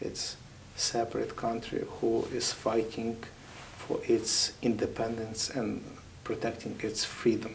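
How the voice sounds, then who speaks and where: Over noticeable background noise, a man with a Ukrainian accent speaks at a very slow pace. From Ukraine. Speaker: military chaplain. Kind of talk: interview.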